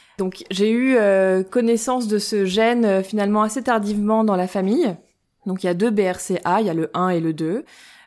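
Fairly slow and with ordinary pitch variation, a woman speaks on a very clean recording with a silent background. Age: 30s. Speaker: breast cancer gene carrier sharing her story. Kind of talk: personal testimony interview. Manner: hesitant, many fillers.

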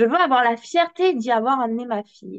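With a normal speaking voice, a woman talks at a fairly high pitch and a moderate pace. Her intonation is lively, and the sound is dry and close with no echo. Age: 20s. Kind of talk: interview.

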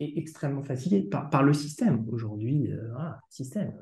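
A man speaks in a somewhat breathy voice with a dark, mellow tone and ordinary pitch variation. Audible room echo surrounds him. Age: 30s. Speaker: home care service director. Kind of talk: casual interview. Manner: halting, repeats words.

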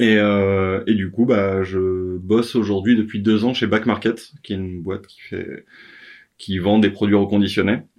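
A man talks at a moderate pace in a fairly low pitch. His intonation stays flat and monotone. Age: 30s. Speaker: author, entrepreneur. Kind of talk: interview. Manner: hesitant, many fillers.

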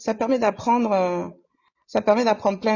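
An unremarkable speaking voice at a moderate pace, with ordinary pitch variation. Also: woman. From Comoros. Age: 40s. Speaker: nurse. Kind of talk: casual interview.

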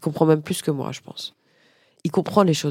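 A woman's very deep, low, dark and mellow voice at a very fast pace with ordinary pitch variation, on a very clean recording with a silent background. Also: dry, close sound with no echo. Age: 40s. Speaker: business owner and podcaster. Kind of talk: interview. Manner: hesitant.

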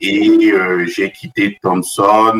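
The speaker is male. He keeps his intonation fairly even. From Central Africa (Cameroon, Benin, Central African Republic). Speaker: business school professor. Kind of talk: interview. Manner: halting, many repetitions and fillers.

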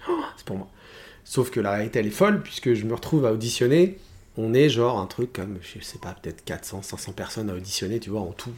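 A man speaks at a fairly quick pace, somewhat breathy, with big swings in loudness. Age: 40s. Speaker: musical theatre singer. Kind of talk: casual chat. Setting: at home.

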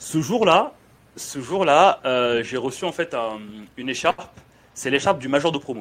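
A man speaks at a fairly slow pace and a fairly high pitch. He leaves long, frequent pauses. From Senegal, raised in France from age 9. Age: 30s. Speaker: podcast host. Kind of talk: podcast interview. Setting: in guest's dry-cleaning shop.

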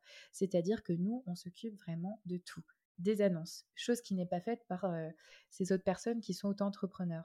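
A woman speaks at a moderate pace in a medium pitch, her dark, mellow tone somewhat breathy, with fairly even intonation and a dry, close sound that has no echo. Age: 20s. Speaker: concierge business owner. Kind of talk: interview. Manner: hesitant, many fillers.

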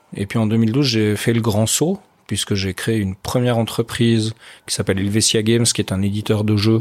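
Very clean, with a silent background, the recording captures a man with a normal speaking voice. His pitch sits fairly low and his intonation stays fairly even. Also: moderate pace. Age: 40s. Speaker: entrepreneur, former army officer. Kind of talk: interview.

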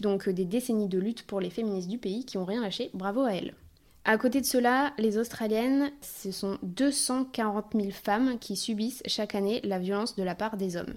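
At a moderate pace, a woman with a plain, everyday voice speaks at a fairly high pitch with ordinary pitch variation, on a very clean recording with a silent background. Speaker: podcast host. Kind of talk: podcast interview, intro narration.

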